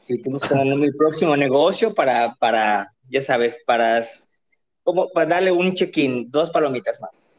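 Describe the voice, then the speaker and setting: This man has a plain, everyday voice, fairly high in pitch, with lively intonation and a moderate pace. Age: 30s. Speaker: drag performer and marketer. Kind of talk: casual chat.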